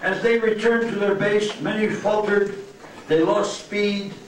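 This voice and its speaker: Light background noise sits under an audible room echo. The pace is fairly slow. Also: man. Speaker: presenter. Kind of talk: prepared speech. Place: hall.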